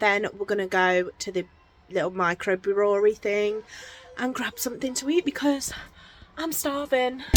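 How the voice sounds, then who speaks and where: Amid noticeable background noise, a woman with an English accent speaks at a moderate pace and medium pitch, her intonation lively and her speech broken by long, frequent pauses. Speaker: vlogger. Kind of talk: casual vlog. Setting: outdoors.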